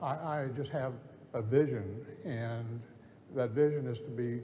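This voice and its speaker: Over noticeable background noise and audible room echo, a man speaks at a moderate pace and medium pitch with fairly even intonation. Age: 70s. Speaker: real estate broker. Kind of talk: on-stage interview. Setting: conference stage with audience. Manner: halting.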